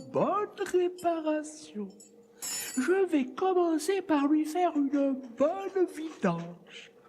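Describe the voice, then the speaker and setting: A put-on character voice speaks at a very slow pace with a high pitch. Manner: chatty, fussing.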